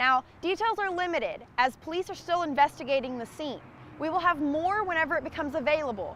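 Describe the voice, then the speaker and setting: A woman's high, lively voice at a fairly quick pace, over noticeable background noise. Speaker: television news reporter. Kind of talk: TV news reporting. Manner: live on-location stand-up report.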